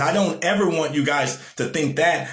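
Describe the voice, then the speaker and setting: A man with an animated tone and a fairly high pitch speaks with ordinary pitch variation, and room echo can be heard. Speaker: motivational speaker. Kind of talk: live-stream motivational talk. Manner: animated, repetitive.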